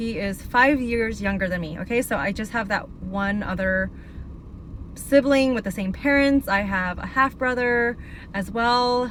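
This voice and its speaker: An American-accented woman talks fairly slowly at a fairly high pitch, her pitch varying in an ordinary way. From Northern California, Sacramento area. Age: 30s. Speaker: abuse survivor mentor, video blogger. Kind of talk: personal testimony. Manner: casual, halting with fillers.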